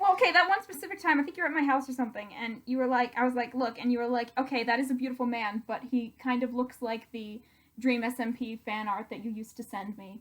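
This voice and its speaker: Over noticeable background noise, a high-pitched woman talks very fast with hardly any pauses, ordinary pitch variation and big swings in loudness. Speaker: YouTuber. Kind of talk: casual chat. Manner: animated.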